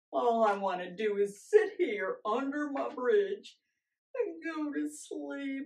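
In a cartoonish character voice, a woman speaks fairly slowly at a high pitch with very wide pitch swings. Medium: puppet show. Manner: grumpy, growling, menacing.

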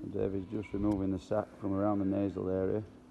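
A man's fast, low-pitched monotone, flat in intonation, with vocal fry and a dark, mellow tone

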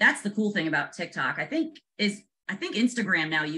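A woman with a bright, sharp tone speaks at a fairly quick pace, her pitch swinging very widely, with light background noise. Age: 40s. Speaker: real estate agent and social media creator; social media creator. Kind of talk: casual video chat interview. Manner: animated. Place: home room. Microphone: video call.

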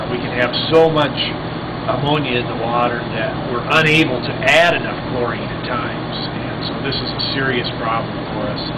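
Loud noise sits behind speech delivered at a moderate pace. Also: man. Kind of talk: interview answer.

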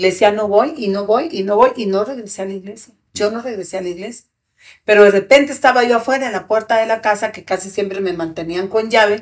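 The delivery is animated and very fast, with big swings in loudness. Pitch varies in an ordinary way against a quiet background. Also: woman. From Mexico (arrived from Guatemala at 17). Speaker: activist; podcast guest. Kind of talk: testimony. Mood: serious, emotional personal testimony. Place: studio. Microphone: studio mic.

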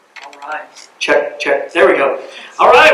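A man with an American accent is heard through noticeable background noise. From US South, Cumming, Georgia. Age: 30s. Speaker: city council candidate. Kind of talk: campaign speech.

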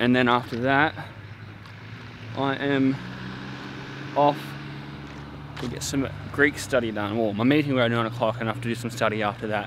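A man talks with fairly even intonation and long, frequent pauses. The sound is dry with no echo, though noticeable background noise is present. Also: moderate pace. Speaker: vlogger. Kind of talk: casual vlog chat. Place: open country. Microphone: phone near.

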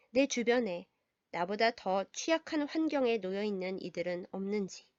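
A woman with a gentle, calm tone talks at a fairly slow pace, her pitch swinging very widely. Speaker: pastor. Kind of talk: storytelling reflection.

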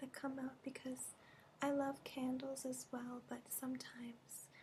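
A soft-spoken woman with a high-pitched voice talks at a very slow pace in a flat monotone over light background noise. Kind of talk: soft-spoken ASMR role-play. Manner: soft, hushed ASMR voice. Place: home room. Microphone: webcam.

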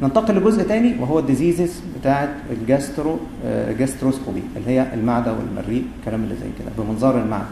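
The speaker has an Egyptian accent, lively intonation and a fairly quick pace. Audible room echo and noticeable background noise are present. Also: man, medium pitch for a man. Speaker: gastroenterologist, university lecturer. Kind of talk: lecture.

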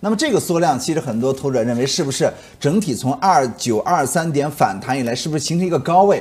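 A somewhat breathy man's voice with very wide pitch swings. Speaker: market analyst. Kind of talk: commentary. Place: studio.

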